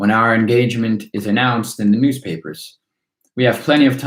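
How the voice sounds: This is a natural reading voice heard against a quiet background.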